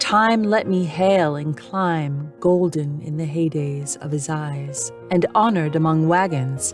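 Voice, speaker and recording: A woman speaks very slowly in a very deep, low voice with lively intonation and a calm tone. Music plays in the background. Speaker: narrator. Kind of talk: poetry reading. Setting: home studio. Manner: relaxing, calm.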